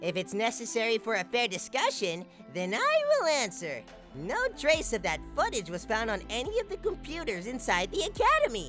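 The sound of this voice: Over clear music in the background, someone performs a put-on character voice at a moderate pace.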